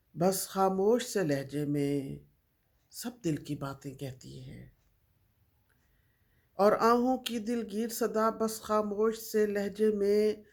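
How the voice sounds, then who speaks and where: A woman with an ordinary speaking voice talks at a medium pitch, using lively intonation and big swings in loudness. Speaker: poet. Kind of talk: poetry reading.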